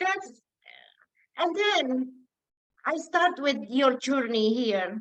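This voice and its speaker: A woman speaks at a very slow pace in a high voice with a non-native accent, her pitch swinging very widely and broken by long, frequent pauses. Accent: foreign accent, self-described as funny. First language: not English. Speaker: community member sharing success story. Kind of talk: testimony.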